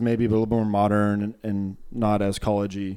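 Here is a man with a normal speaking voice and a fairly low pitch. He talks at a fairly quick pace. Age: 20s. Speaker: podcast guest, corporate worker. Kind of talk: casual chat.

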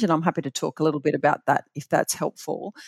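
An Australian accent with fairly even intonation, in dry, close sound with no echo and a very clean recording with a silent background. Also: woman. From Australia, Bathurst NSW. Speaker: super fund chief executive. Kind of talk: interview.

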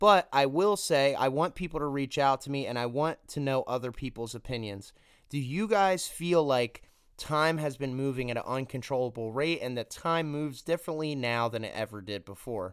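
On a very clean recording with a silent background, a man with an unremarkable speaking voice talks at a moderate pace, fairly high in pitch with lively intonation. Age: 20s. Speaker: podcast host. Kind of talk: solo monologue podcast.

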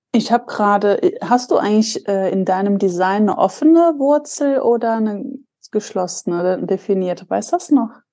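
A woman at a moderate pace, fairly high in pitch, with lively intonation and a dark, mellow tone. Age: 30s. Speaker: podcast co-host. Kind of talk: casual chat.

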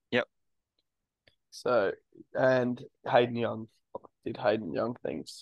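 With an Australian accent, a man speaks at a very slow pace, pausing long and often. The sound is dry and close with no echo. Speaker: sports podcast co-host. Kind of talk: casual chat.

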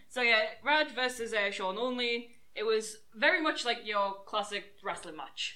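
The speech moves at a fairly slow pace with lively intonation and hardly any pauses. Noticeable background noise is present. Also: woman, fairly high pitch for a woman. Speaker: wrestling show reviewer. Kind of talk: casual chat.

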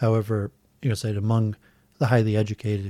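A man with an American accent speaks very fast in a monotone, his fairly low voice dark, mellow and somewhat breathy. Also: very clean recording, silent background. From US Midwest, Metro Detroit suburbs. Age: 40s. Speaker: civil engineer and YouTuber. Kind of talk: casual chat. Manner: halting, many fillers.

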